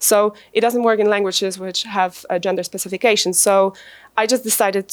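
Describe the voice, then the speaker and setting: Speaking at a moderate pace with a Polish accent and fairly even intonation, a woman is heard in a very clean recording with a silent background. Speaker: translator and academic. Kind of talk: conference presentation. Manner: hesitant, many fillers.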